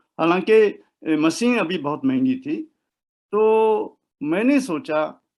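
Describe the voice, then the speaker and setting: This is a man's voice. The pitch swings very widely. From Japan, Osaka. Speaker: professor of Hindi. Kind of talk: interview. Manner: halting.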